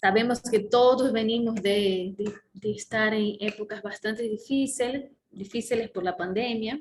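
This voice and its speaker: A woman speaks at a fairly slow pace in a fairly high, somewhat breathy voice with a Brazilian accent, her intonation fairly even and hardly any pauses. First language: Portuguese (speaking Spanish). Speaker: conference speaker, organizer. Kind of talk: opening conference talk. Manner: halting, many fillers.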